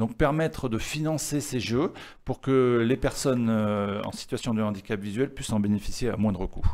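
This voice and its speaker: A man speaks at a moderate pace with a medium pitch. His pitch variation is ordinary. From southern France (Var, Toulon area); southern France. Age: 50s. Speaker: chessboard maker; guest. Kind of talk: interview; interview answer. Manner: hesitant, many fillers and repetitions. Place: studio. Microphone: studio mic.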